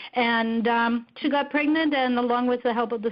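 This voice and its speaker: The speaker uses a plain, everyday voice at a moderate pace. The intonation is fairly even. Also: woman. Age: 50s. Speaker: network marketing distributor. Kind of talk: testimony.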